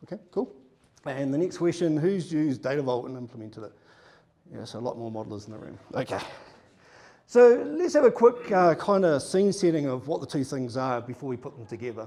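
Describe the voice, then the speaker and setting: With a New Zealand accent, a man speaks fairly quickly at a fairly high pitch. His pitch swings very widely, and his loudness varies a lot. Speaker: data consultant. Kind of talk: conference presentation.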